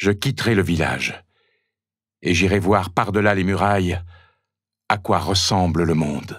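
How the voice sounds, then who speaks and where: In a dramatic, animated tone, a man speaks at a fairly slow pace with very even loudness. The recording is very clean, with a silent background. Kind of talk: scripted narration, children's story read aloud. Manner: dramatic, suspenseful storytelling; animated, varying voices for characters.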